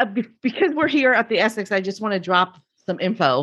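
A woman with an unremarkable speaking voice and lively intonation, at a moderate pace, against a quiet background. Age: 50s. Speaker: podcast host and guest fan. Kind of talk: casual chat.

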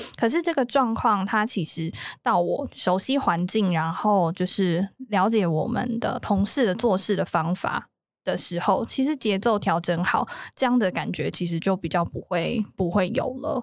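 A plain, everyday voice talks at a fairly slow pace with lively intonation. The recording is very clean, with a silent background. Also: woman, medium pitch for a woman. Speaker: business development rep. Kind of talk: casual chat.

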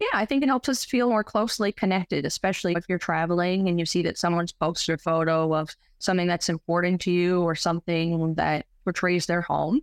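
A woman's plain, everyday voice, fairly low-pitched, at a fairly quick clip with hardly any pauses, very even in loudness and with ordinary pitch variation, in a dry, close recording with no echo and a quiet background. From Newfoundland, Canada. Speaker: photographer and pharmacist. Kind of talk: interview.

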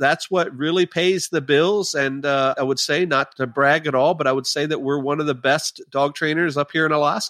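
A man with a plain, everyday voice speaks at a moderate pace and a fairly high pitch, with fairly even intonation and very even loudness. He leaves hardly any pauses, and the sound is dry and close with no echo. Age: 50s. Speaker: dog trainer and sled dog musher. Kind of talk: casual interview.

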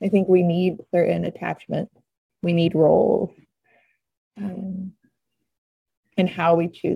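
With an American accent, a woman speaks at a fairly low pitch and moderate pace in a somewhat breathy, dark, mellow tone with fairly even intonation, in a dry, close sound with no echo. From Oklahoma (Norman). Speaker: painter and art teacher. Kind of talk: casual chat.

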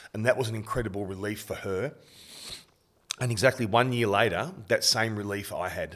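Talking at a fairly quick pace yet with long, frequent pauses, a man with an Australian accent speaks at a medium pitch with ordinary pitch variation. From Australia, Bendigo, Victoria. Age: 50s. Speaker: suicide prevention charity founder. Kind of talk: interview.

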